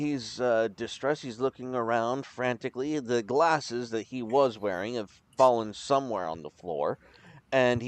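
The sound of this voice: An unforced reading voice with fairly even intonation throughout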